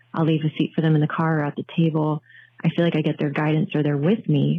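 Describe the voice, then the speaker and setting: A woman talks with an American accent at a fairly quick pace. Her pitch is very deep and low. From New Jersey. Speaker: listener caller. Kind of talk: voicemail.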